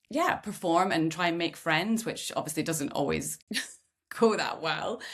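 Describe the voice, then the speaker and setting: Fairly low-pitched with vocal fry, a woman speaks at a fairly slow pace with ordinary pitch variation. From Scotland. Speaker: podcast host. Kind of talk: casual chat. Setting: podcast.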